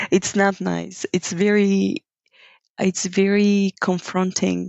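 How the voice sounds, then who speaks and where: A woman speaks with a Bulgarian accent. Her pitch sits in the middle range. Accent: Bulgarian accent, noticeable. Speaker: yoga teacher. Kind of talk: podcast interview. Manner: reflective, with hesitations.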